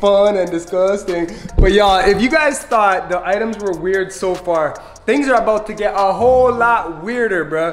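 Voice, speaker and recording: Over faint music in the background, a man with a high pitch talks at a moderate pace with ordinary pitch variation. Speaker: family vlogger. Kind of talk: casual vlog chat. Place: kitchen. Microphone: phone near.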